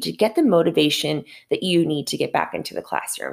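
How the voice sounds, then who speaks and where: On a very clean recording with a silent background, a woman with a fairly low pitch and vocal fry speaks at a fairly quick pace. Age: 30s. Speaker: podcast host and math teacher. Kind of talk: solo podcast monologue. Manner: casual, conversational with fillers.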